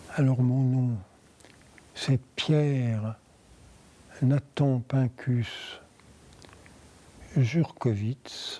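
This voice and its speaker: Very slow and marked by long, frequent pauses, a man's medium-pitched voice has a dark, mellow tone and fairly even intonation. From France, Paris. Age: 80s+. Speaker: interviewee, wartime survivor. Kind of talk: oral history interview. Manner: halting.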